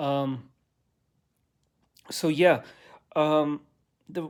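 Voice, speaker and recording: A man with a fairly high pitch is heard on a very clean recording with a silent background. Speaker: religious video blogger. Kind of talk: casual monologue. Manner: slow, halting.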